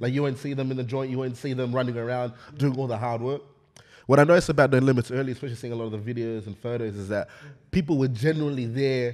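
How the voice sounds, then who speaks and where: A man with an Australian accent at a very fast pace, fairly even in intonation, against a quiet background. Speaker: podcast host. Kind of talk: casual chat. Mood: reflective, earnest. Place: studio. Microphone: studio mic.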